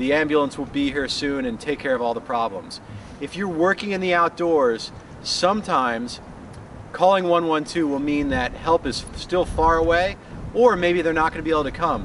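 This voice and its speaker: Noticeable background noise sits behind a man with an American accent. He speaks at a moderate pace with a fairly high pitch and ordinary pitch variation. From Colorado, US. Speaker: paramedic and wilderness first aid instructor. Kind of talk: promotional course explanation. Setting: outdoors on location in Finland. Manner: casual with frequent fillers.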